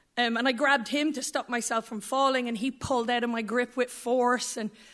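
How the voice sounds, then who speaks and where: Over a silent background in a very clean recording, a woman with a fairly high pitch speaks at a moderate pace in a monotone, flat delivery. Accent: Irish. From rural Ireland. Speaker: storyteller. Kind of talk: live storytelling. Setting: stage with audience.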